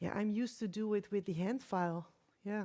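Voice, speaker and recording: The delivery is fairly quick and monotone, with flat intonation. Its tone is dark and mellow. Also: woman. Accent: non-native. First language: not English. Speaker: nail technician. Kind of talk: live demonstration. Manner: halting, hesitant.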